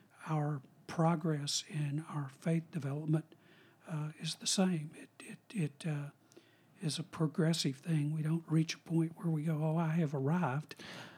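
A man speaks in a plain, everyday voice at a fairly high pitch. His pace is fairly slow and his intonation fairly even. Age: 60s. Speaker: retired professor of philosophy and religion. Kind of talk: casual interview chat.

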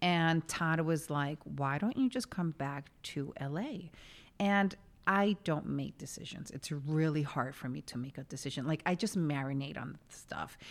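A woman speaks with a New York accent in a very deep, low pitch. Her pace is fairly slow and her tone animated. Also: ordinary pitch variation, very clean recording, silent background. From New York City (West Village). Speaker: podcast co-host. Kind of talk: casual chat. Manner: animated, laughs often.

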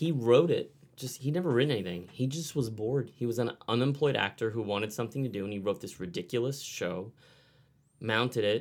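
On a very clean recording with a silent background, a man with an ordinary speaking voice talks at a medium pitch with ordinary pitch variation. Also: fairly quick pace. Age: 40s. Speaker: author and storyteller. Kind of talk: casual chat.

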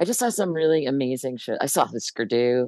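A gravelly woman speaks at a fairly quick pace with very wide pitch swings, in a dry, close sound with no echo. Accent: American. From New Jersey, US. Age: 60s. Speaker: musician and bass player.

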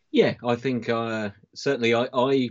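The pace here is moderate. This man talks with a British accent. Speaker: football fan panelist. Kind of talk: casual chat.

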